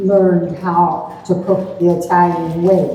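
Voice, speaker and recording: Against noticeable background noise and audible room echo, a woman talks in a fairly low pitch. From southern Colorado. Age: 80s+. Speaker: restaurant owner. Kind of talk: personal testimony.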